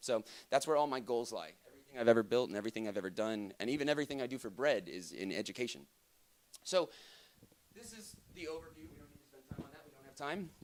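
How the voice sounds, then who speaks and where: The speech runs at a very fast pace, with lively intonation and big swings in loudness. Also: man, medium pitch for a man. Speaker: conference speaker. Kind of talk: lecture.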